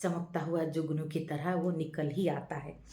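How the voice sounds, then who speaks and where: A woman's voice with audible room echo. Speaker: YouTube channel host, movie-based life philosophy talks. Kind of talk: casual monologue, movie review with reflection. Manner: hesitant, with filler sounds.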